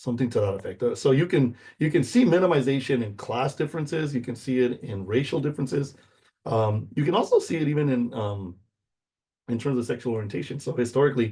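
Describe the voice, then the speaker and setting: Talking at a very fast pace, a man has a medium pitch, a dark, mellow tone and a somewhat breathy sound. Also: ordinary pitch variation. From US, Mexican American community. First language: Spanish. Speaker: university instructor. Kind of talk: lecture. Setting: recorded video lecture. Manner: casual, many fillers.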